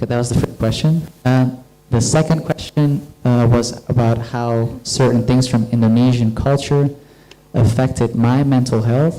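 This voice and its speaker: Over noticeable background noise, a man speaks at a moderate pace and medium pitch, his intonation fairly even and his loudness very even. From Netherlands. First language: Dutch. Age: 30s. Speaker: guest lecturer. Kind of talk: lecture Q&A. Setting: university lecture hall with audience.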